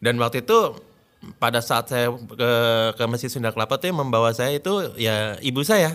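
A man speaks at a moderate pace in a medium pitch with ordinary pitch variation, in a very clean recording with a silent background. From Jakarta, Indonesia. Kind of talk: testimony. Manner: halting.

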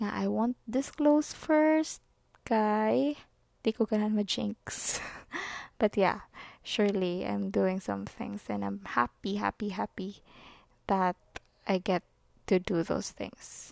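With a Visayan Filipino accent, a woman speaks very slowly with long, frequent pauses, the sound dry and close with no echo over a quiet background. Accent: Filipino (Cebuano) English. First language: Cebuano. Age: 20s. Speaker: podcast host. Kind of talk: casual monologue. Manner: halting, self-described stutter; laughs often.

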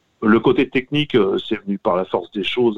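A man talks at a moderate pace. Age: 50s. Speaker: radio presenter. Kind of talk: interview. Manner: hesitant, many fillers.

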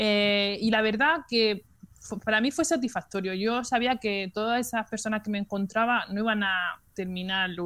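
A woman speaks in a plain, everyday voice at a moderate pace with ordinary pitch variation, in a very clean recording with a silent background. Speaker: nurse. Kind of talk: casual chat.

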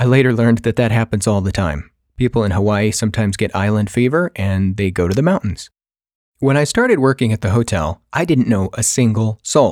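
At a fairly quick pace, an unremarkable speaking voice carries ordinary pitch variation. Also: man, medium pitch for a man. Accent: American. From California, US. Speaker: podcaster. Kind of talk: personal storytelling monologue.

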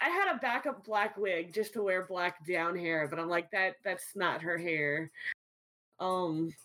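Someone with an American accent speaks in a plain, everyday voice at a fairly slow pace, with ordinary pitch variation. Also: woman, medium pitch for a woman. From US South, New Orleans. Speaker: streamer. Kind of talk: casual chat.

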